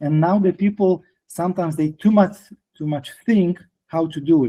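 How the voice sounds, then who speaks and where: With a Polish accent, a man speaks at a moderate pace in a high pitch with a dark, mellow tone. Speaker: detailing trainer and product distributor. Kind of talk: interview. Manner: halting.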